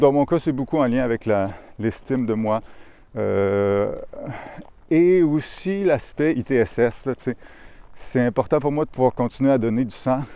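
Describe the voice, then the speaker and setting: A dark, mellow tone in a Quebec accent, at a very slow pace. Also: man. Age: 30s. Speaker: podcaster. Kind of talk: casual monologue. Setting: outdoors walking in a park. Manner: hesitant, many fillers. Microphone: new lavalier mic recorded on phone.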